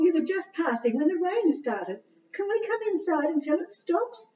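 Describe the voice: A female-sounding voice in a squeaky, cartoonish character voice speaks at a moderate pace with an extremely high pitch.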